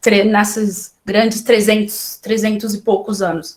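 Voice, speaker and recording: Very slow, somewhat breathy speech from a woman at a fairly high pitch. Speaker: librarian giving a talk. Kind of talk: lecture. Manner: halting, many fillers and restarts.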